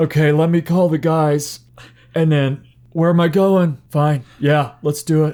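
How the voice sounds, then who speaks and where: A man in a put-on character voice, fairly high pitch, monotone and flat, at a fairly slow pace with very even loudness. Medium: actual play. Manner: hesitant, confused, whiny.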